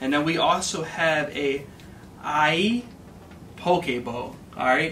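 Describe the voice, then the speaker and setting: With music in the background, a man speaks at a fairly slow pace with ordinary pitch variation. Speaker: vlogger. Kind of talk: casual food review vlog chat. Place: home room. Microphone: camera far.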